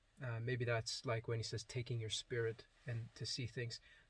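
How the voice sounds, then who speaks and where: This voice is somewhat breathy. It belongs to a man. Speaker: religious video blogger. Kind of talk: testimony. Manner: hesitant, many fillers.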